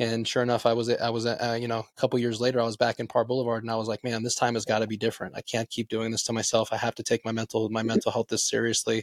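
This man has an American accent and a medium pitch, talking at a very fast pace. The sound is dry and close, with no echo. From Las Vegas, US. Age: 30s. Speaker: podcast host. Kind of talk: casual interview chat. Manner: hesitant, filler-heavy.

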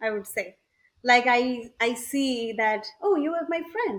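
A woman with an Indian accent speaks at a very slow pace, her high pitch carried by lively intonation. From India, Odisha. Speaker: entrepreneur. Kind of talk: interview.

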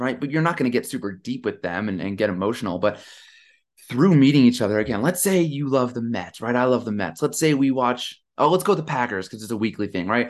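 The background stays quiet. Over it, a man's very fast speech carries lively intonation. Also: medium pitch for a man. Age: 30s. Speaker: leadership business coach. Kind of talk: casual chat. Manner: animated.

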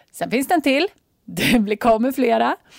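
A woman speaks with vocal fry in a very clean recording with a silent background and a dry, close sound with no echo. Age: 40s. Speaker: life coach. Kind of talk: casual monologue. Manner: animated.

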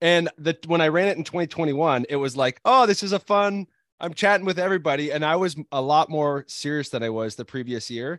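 In a very clean recording with a silent background and a dry, close sound with no echo, a man with an unremarkable speaking voice speaks at a moderate pace with a fairly high pitch and lively intonation. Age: 30s. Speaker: podcast host and ultrarunner. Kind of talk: casual chat.

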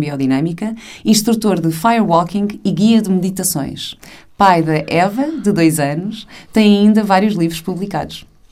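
A woman of medium pitch at a moderate pace, with ordinary pitch variation and audible room echo. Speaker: podcast host. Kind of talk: casual interview; scripted introduction. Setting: podcast.

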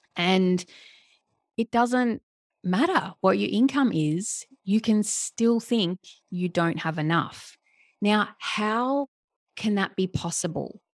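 With an Australian accent, a woman at medium pitch talks at a very slow pace with long, frequent pauses and ordinary pitch variation, in a very clean recording with a silent background and a dry, close sound with no echo. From Australia, Melbourne. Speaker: life coach. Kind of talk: casual interview chat.

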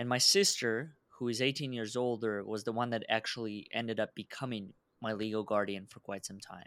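A man with a Russian accent talks at a fairly quick pace with hardly any pauses, keeping his intonation fairly even while his loudness swings widely. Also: medium pitch for a man. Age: 20s. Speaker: entrepreneur and founder.

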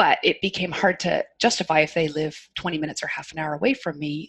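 Somewhat breathy, a woman's voice proceeds at a moderate speed. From Canada. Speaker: occupational therapist. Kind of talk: casual interview chat. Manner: calm, soothing.

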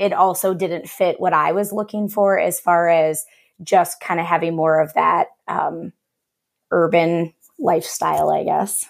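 In a normal speaking voice, a woman talks at a fairly slow pace with fairly even intonation. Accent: American. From US Midwest, Cleveland area, Ohio. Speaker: elementary music teacher. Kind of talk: interview.

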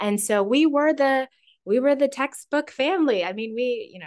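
This woman has an unremarkable speaking voice and lively intonation. She talks at a moderate pace with a quiet background. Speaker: offer strategist, human design expert. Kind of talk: interview, casual chat.

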